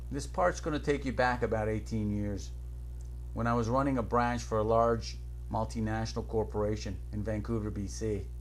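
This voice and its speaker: This man's voice is very deep and low, with monotone, flat intonation. Room echo is audible. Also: moderate pace. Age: 40s. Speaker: business coach. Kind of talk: personal testimony.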